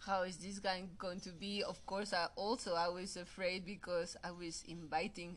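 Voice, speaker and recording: A woman with a Mexican accent speaks in a bright, sharp tone. Her pitch sits in the middle range, and her intonation is fairly even. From Mexico. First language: Spanish. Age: 30s. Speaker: photographer. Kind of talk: casual chat. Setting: video call. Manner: halting.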